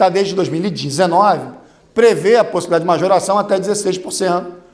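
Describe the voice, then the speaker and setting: With audible room echo, a man speaks in an animated tone at a high pitch and a very fast pace. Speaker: lawyer and lecturer. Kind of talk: conference talk. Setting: stage with audience.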